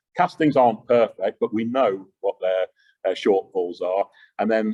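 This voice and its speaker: A man with a Yorkshire accent talks at a fairly quick pace. The sound is dry and close with no echo. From Yorkshire, England. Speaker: engineering company executive. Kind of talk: Q&A answers; lecture. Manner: loud.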